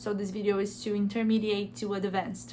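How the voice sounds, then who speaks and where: A woman with a Brazilian accent talks amid audible room echo. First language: Portuguese. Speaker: language teaching youtuber. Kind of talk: tutorial. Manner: halting, with hesitations.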